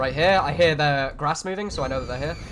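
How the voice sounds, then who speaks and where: Against noticeable background noise, the words rush out very fast. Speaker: video game streamer. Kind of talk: gameplay commentary. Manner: casual.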